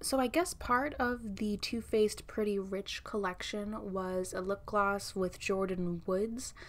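This woman speaks with ordinary pitch variation. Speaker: beauty vlogger. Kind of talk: casual vlog chat. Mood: chatty, slightly sarcastic. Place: home room.

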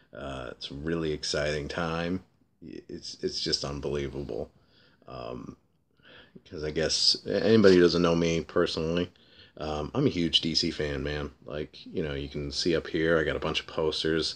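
A man talks with a very deep, low pitch and vocal fry. His pitch varies in an ordinary way, while his loudness swings widely. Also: moderate pace. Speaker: comic book vlogger. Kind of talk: casual vlog. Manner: hesitant, many fillers. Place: home room. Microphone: webcam.

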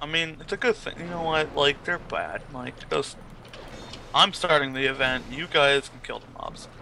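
A man's loudness swings widely, with noticeable background noise behind him. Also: fairly high pitch for a man, ordinary pitch variation, moderate pace. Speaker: gamer friend. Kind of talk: casual chat. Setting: voice chat. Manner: joking, swears freely.

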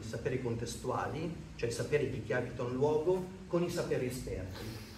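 A man talks at a moderate pace with ordinary pitch variation. Light background noise and audible room echo surround his voice. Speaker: association representative presenting the project; speaker. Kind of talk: conference talk. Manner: loud, speaking without microphone. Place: meeting room. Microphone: no microphone; camera far.

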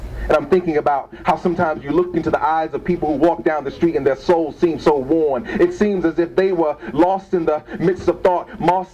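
This man talks at a fairly quick pace, his pitch high for a man. Light background noise sits behind him. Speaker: spoken word poet. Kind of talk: improvised spoken word poetry performance. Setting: open mic event, live venue. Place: shop.

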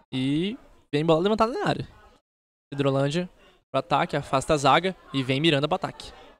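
The recording is dry, with no echo. A man with a Brazilian accent speaks at a fairly quick pace in a fairly high pitch with ordinary pitch variation, taking long, frequent pauses. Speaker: football play-by-play announcer. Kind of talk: live commentary. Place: stadium.

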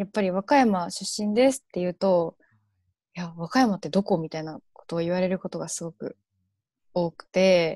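A woman at a moderate pace, dry with no echo, over a quiet background. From Japan, Kansai region; Japan. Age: 20s. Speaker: university student; guest. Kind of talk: interview. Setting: online live stream. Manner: hesitant with many fillers. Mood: cheerful, animated. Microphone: earbuds.

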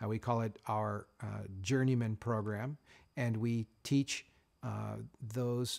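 Fairly even intonation from a man, over a quiet background. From Canada, Nova Scotia. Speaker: master bladesmith and knife company owner. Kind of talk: interview. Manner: measured with frequent fillers. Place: workshop.

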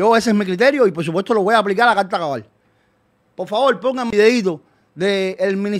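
At a very fast pace, a man with a high pitch speaks with ordinary pitch variation against a quiet background. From Cuba. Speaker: activist; streamer commentator. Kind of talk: video statement. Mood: scornful, opinionated. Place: home room. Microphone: studio mic.

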